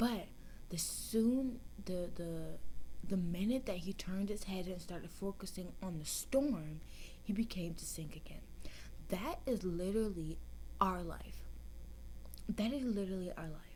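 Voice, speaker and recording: Soft-spoken, a woman talks at a fairly slow pace. She leaves long, frequent pauses. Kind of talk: soft-spoken ASMR Bible story reading.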